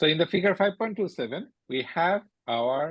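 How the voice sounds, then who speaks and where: Lively intonation runs through this man's speech. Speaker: university lecturer. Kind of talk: lecture.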